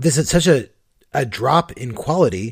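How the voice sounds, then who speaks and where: Somewhat breathy and fairly high, a man's voice makes very wide pitch swings at a moderate pace. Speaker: podcast host. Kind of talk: casual banter, comedic podcast. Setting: remote recording from Seattle.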